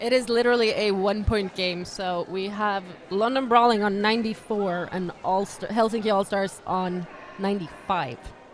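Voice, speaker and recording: A woman speaks at a moderate pace with a slight non-native accent and a medium pitch. Her intonation stays fairly even over noticeable background noise. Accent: near-native English. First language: not English. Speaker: roller derby commentator. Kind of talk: live commentary.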